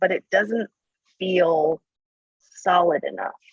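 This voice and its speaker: A woman with fairly low pitch and lively intonation speaks at a very slow pace, recorded with a dry, close sound and no echo. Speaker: doctoral student in audience. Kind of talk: question to a webinar presenter.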